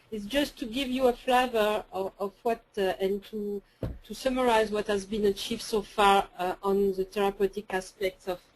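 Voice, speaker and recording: With a strong French accent, a woman speaks at a medium pitch with fairly even intonation. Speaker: research scientist presenter. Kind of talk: webinar presentation and Q&A. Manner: halting, repeats words.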